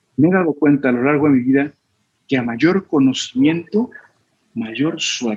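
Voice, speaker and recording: The speaker moves at a moderate pace with ordinary pitch variation, leaving long, frequent pauses. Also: man. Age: 40s. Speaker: finance expert and crypto investor. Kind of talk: interview.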